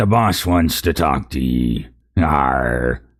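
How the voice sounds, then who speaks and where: Using a put-on character voice, a man speaks at a very deep, low pitch. His pace is very slow. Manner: harsh, snarling.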